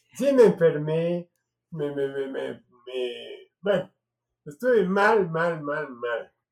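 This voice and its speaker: A man talks at a very slow pace, with long, frequent pauses. His voice is high-pitched and his intonation is lively. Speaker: family elder telling his life story. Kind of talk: personal interview.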